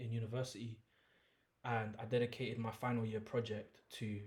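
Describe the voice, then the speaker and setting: A somewhat breathy, medium-pitched male voice, monotone and flat, at a moderate pace. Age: 30s. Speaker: musician. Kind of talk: podcast interview.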